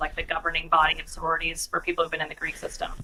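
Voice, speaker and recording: A woman talks in a Pacific Northwest accent with fairly even intonation. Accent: non-Boston, Pacific Northwest American. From northern Idaho, US Pacific Northwest. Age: 40s. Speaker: corporate executive. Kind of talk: interview.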